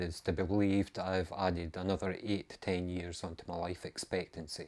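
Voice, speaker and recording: With a Scottish accent, a man speaks at a very deep, low pitch over a quiet background. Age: 50s. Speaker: amateur runner and vlogger. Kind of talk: casual video monologue. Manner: hesitant, many ums.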